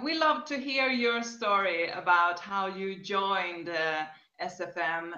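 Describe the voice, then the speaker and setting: Over a quiet background with audible room echo, a woman speaks at a very slow pace with lively intonation. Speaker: interviewer. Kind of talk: interview questions. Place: home room. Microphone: webcam.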